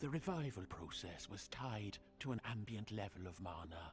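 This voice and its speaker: A put-on character voice speaks in a solemn tone at a low pitch. The pace is moderate, with clear background noise. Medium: video game. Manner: formal, measured, solemn.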